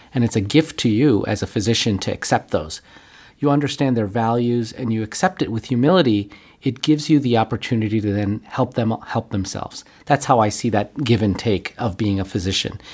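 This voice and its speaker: On a very clean recording with a silent background, a man with a Western New York accent speaks at a fairly quick pace and medium pitch with ordinary pitch variation. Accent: American, Western New York. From Buffalo, New York, US. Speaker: physician and healthcare executive. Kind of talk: interview.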